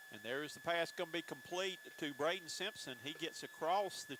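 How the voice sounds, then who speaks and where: In a South Carolina accent, a bright, sharp voice speaks at a moderate pace with very wide pitch swings. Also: man. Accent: Southern US (South Carolina). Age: 60s. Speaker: play-by-play announcer. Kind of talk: live commentary.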